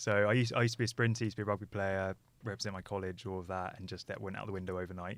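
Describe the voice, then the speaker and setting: With a southern English accent, a man speaks at a very fast pace in a monotone, flat intonation, captured in a very clean recording with a silent background. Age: 20s. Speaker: motorcycle content creator. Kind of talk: podcast interview.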